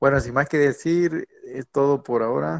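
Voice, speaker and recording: A man with an unremarkable speaking voice talks at a fairly slow pace with lively intonation, recorded with a dry, close sound and no echo. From Mexico. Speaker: podcast host, engineering student. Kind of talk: casual chat.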